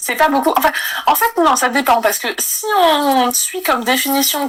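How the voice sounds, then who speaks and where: A woman with lively intonation at a fairly slow pace, over noticeable background noise. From Asia, notably Taiwan. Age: 30s. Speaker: illustrator and content creator. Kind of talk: casual interview chat.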